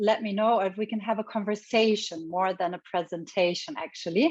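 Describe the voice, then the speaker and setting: In a normal speaking voice, a woman talks at fairly high pitch with ordinary pitch variation. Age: 40s. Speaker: leadership coach and psychologist. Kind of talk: online workshop presentation. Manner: conversational, informal.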